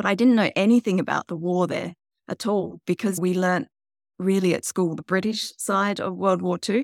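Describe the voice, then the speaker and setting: In a very clean recording with a silent background and a dry, close sound with no echo, a woman with an Australian accent speaks at a moderate pace and medium pitch with ordinary pitch variation. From Tasmania, Australia. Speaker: novelist and geologist. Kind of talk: interview.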